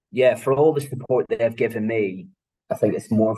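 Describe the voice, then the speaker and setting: A man with a Northern Irish accent speaks with fairly even intonation. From Northern Ireland, Belfast. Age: 40s. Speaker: football coach, former para footballer. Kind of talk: interview conversation.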